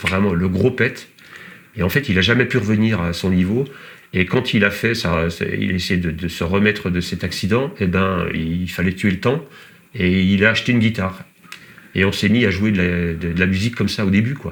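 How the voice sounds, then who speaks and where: A man with a very deep, low voice speaks while noticeable noise fills the background. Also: ordinary pitch variation, moderate pace. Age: 50s. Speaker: trail runner and former rock musician. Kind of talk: casual interview chat. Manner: halting, many hesitations.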